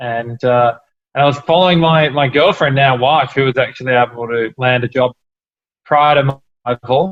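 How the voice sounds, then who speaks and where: With an Australian accent, a man speaks at medium pitch and a moderate pace with fairly even intonation. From Australia, Melbourne. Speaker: entrepreneur, cafe company founder. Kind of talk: interview.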